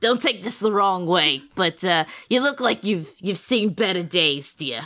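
A female-sounding voice of medium pitch takes on a put-on character voice. She goes at a fairly slow pace. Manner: fussy, motherly.

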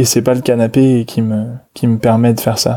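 Flat and monotone, a man's dark, mellow voice moves at a fairly slow pace. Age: 20s. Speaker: statistical analyst and movement teacher. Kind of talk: casual interview. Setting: evening recording. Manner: halting, many repetitions.

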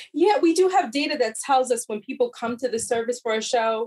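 An unremarkable speaking voice with an American accent moves at a fairly quick pace with ordinary pitch variation, recorded dry and close with no echo. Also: woman. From US Midwest, Chicago area. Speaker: corporate diversity executive. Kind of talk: interview.

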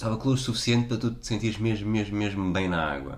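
Audible room echo carries a man's very deep, low voice. He has a European Portuguese accent and ordinary pitch variation. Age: 30s. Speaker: podcast co-host. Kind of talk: casual chat.

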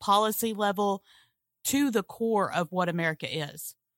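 In a Southern US accent, a woman speaks at a moderate pace in a medium pitch with ordinary pitch variation, in a very clean recording with a silent background that sounds dry and close with no echo. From Mississippi, US South. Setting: blanket fort, under a blanket.

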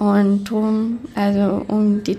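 A woman's voice carries audible echo from the room. She is speaking. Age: 30s. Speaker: screen printing business owner and mental health educator. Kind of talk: interview. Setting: hotel conference room.

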